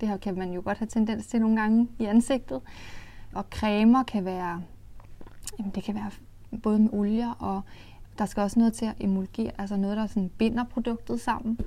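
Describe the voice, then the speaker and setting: This woman sounds somewhat breathy, her intonation fairly even. She keeps a moderate pace, with long, frequent pauses. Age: 20s. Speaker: makeup company co-founder. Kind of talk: interview.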